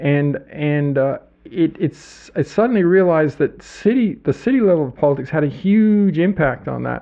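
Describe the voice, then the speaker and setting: With hardly any pauses, a fairly high-pitched man speaks at a moderate pace and with lively intonation. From Ottawa, Canada. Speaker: author and former city councillor. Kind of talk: interview. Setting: studio. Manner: halting, many repetitions.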